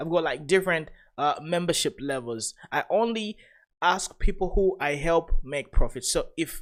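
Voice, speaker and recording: A man speaks with a non-native accent at a high pitch. The recording is very clean, with a silent background. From Africa. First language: not English. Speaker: crypto trading youtuber. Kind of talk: live stream trading commentary. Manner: halting, many fillers.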